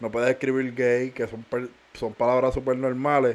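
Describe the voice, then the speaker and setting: Here is a man at a medium pitch. He speaks at a fairly slow pace. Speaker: podcast co-host. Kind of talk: casual chat.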